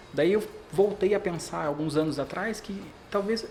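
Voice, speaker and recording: A man's high-pitched, animated voice over noticeable background noise. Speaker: brand protection specialist. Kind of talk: podcast interview. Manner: fast.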